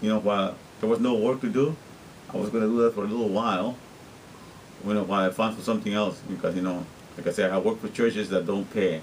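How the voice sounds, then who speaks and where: A man's fairly low-pitched voice with a Spanish accent, very fast pace, long and frequent pauses, and fairly even intonation. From Guatemala. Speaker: interpreter and vlogger. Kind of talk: casual video diary monologue. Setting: self-recorded on camera.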